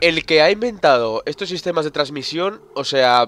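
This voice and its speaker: A man with lively intonation and an animated tone, at a moderate pace, in a dry, close sound with no echo. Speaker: gaming video creator. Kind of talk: let's play commentary. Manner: animated, exclamatory at scary moments.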